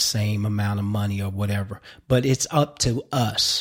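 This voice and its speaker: Recorded very cleanly against a silent background, a man speaks at a moderate pace in a relaxed, somewhat breathy, medium-pitched voice with fairly even intonation. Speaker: actor. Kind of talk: interview. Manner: relaxed, conversational.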